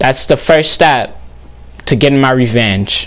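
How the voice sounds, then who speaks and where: Through noticeable background noise, a man speaks fairly slowly at a medium pitch with lively intonation. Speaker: gaming YouTuber. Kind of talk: casual vlog monologue.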